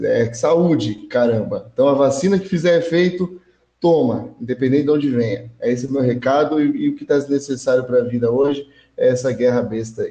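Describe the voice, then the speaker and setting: This man has a dark, mellow tone at a medium pitch, speaking fairly quickly in a somewhat breathy voice with ordinary pitch variation. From Brazil, Hortolândia (São Paulo state). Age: 20s. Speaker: podcast guest. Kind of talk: casual chat.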